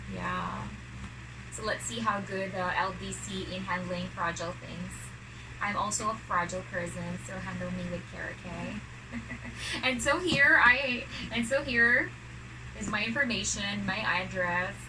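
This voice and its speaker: A woman with a Filipino accent talks at a fairly slow pace with long, frequent pauses and big swings in loudness, amid noticeable background noise and audible room echo. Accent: Filipino (Bisaya) accent, non-fluent English. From Philippines, Mindanao. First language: Cebuano (Bisaya). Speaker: vlogger. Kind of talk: unboxing vlog. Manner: halting.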